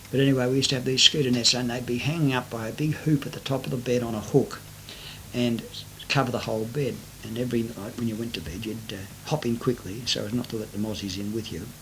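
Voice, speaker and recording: Someone with an Australian accent talks at a very fast pace with ordinary pitch variation amid noticeable background noise. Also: man, medium pitch for a man. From Sydney, Australia. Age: 60s. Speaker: retiree recording life story. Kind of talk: oral memoir. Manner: hesitant, many fillers.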